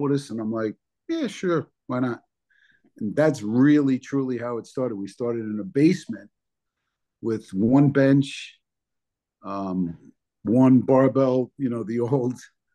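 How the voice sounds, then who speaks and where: Against a quiet background, a man with a New Jersey accent speaks at a medium pitch in a dark, mellow tone, with ordinary pitch variation and long, frequent pauses. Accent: New Jersey American. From New Jersey, US. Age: 60s. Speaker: bodybuilder. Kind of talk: interview.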